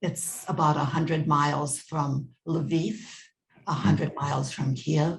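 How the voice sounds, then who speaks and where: Very deep, low-pitched female voice with an American accent, somewhat breathy and with fairly even intonation. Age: 70s. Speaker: family history interviewee. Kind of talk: oral history interview.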